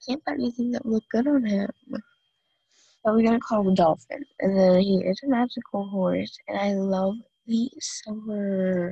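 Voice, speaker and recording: A somewhat breathy woman with a dark, mellow tone speaks at a moderate pace and medium pitch, with ordinary pitch variation, in a dry, close recording with no echo. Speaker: gaming youtuber. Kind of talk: gameplay commentary. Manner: casual, halting with fillers.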